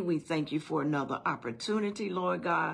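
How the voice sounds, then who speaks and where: A woman talks at a moderate pace, her pitch shifting in an ordinary way. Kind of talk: prayer. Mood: earnest, reverent. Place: home room. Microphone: phone near.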